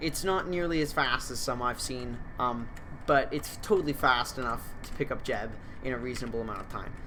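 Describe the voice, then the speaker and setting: Someone mumbles at a moderate pace. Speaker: gaming youtuber. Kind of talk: gameplay commentary. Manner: halting, many fillers; mumbling.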